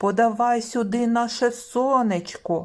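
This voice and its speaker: The woman puts on a character voice, pitched fairly high and delivered fairly slowly. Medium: read story.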